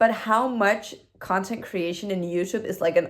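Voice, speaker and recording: With a non-native accent, a woman talks at a fairly slow pace. Her medium pitch follows fairly even intonation. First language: not English. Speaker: new YouTuber. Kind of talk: casual vlog reflection. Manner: hesitant, with fillers.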